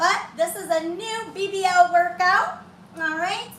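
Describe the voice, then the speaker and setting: A woman speaks in a raised, projected voice. Audible room echo surrounds her. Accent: American. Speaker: fitness instructor. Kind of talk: workout tutorial. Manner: loud.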